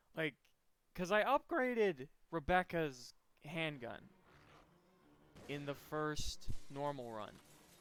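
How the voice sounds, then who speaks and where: A man speaks in a fairly high voice with music playing in the background. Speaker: gaming streamer. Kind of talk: live gameplay commentary. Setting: at home, late at night. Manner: kept quiet because it is late.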